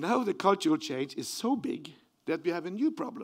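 A man talks with a Norwegian accent. His pitch swings very widely over a quiet background. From Norway. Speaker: professor. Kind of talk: lecture.

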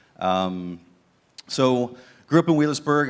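The man's intonation is lively, and his pace stays moderate. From southern Ohio, US. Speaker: ministry leader; guest. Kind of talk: testimony. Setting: church. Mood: earnest, reflective. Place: church. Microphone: handheld.

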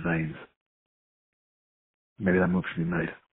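A man growls in a low pitch. His voice is gravelly, with a husky, rough edge.

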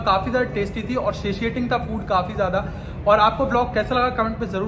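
Over noticeable background noise, a man speaks at a moderate pace in a high pitch with fairly even intonation. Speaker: food vlogger. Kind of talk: casual vlog chat.

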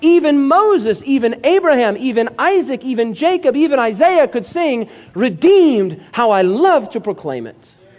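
Extremely high in pitch, a man's voice swings very widely at a moderate pace with hardly any pauses. Noticeable background noise is present. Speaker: pastor. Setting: church meeting hall with live audience. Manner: earnest, prayerful and reverent when addressing God.

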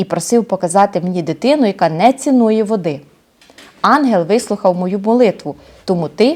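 The text comes through in a natural reading voice.

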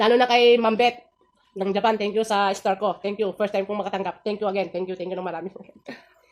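Delivery runs at a fairly quick pace. The intonation is fairly even. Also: woman, medium pitch for a woman. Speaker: food vlogger. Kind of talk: mukbang vlog talk. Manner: halting.

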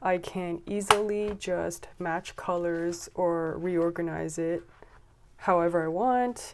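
A woman with a fairly low pitch, amid noticeable background noise. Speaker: stationery vlogger. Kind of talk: casual show-and-tell vlog. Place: home room. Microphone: phone near.

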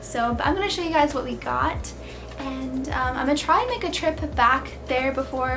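Music plays in the background. Over it, a woman talks at a fairly quick pace. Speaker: lifestyle vlogger. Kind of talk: casual vlog chat. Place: home room.

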